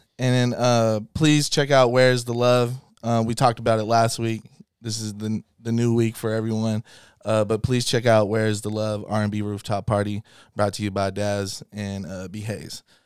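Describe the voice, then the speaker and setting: In a normal speaking voice, a man talks at a moderate pace and medium pitch with fairly even intonation. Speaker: podcast host. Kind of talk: casual chat.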